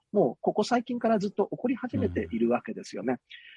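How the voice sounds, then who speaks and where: Fairly high in pitch, a man talks with very wide pitch swings. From Osaka. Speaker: politician. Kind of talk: interview. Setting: remote call.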